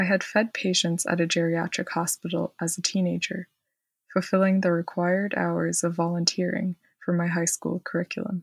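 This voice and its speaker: The voice is somewhat breathy and flat in a monotone, moving at a moderate pace, with a dry, close sound with no echo on a very clean recording with a silent background. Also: woman, fairly low pitch for a woman. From Quebec, Montreal. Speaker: historian and storyteller. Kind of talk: reading aloud of personal story.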